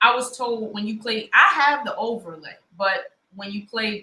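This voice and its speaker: A woman speaks in a Baltimore accent. Her tone is bright and sharp. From Baltimore, Maryland, US. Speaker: online debate show host. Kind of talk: live debate chat.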